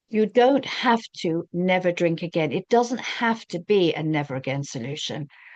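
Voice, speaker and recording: A woman with a normal speaking voice talks at a fairly low pitch. The sound is dry and close, with no echo. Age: 60s. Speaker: recovery coach. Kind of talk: talking-head advice monologue.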